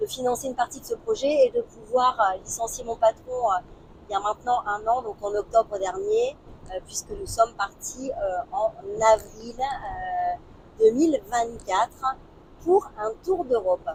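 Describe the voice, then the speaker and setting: Her pitch high and swinging very widely, a woman speaks at a fairly slow pace amid noticeable background noise. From northern France, Lille. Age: 50s. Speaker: travel vlogger. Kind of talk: casual chat. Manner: hesitant, many fillers.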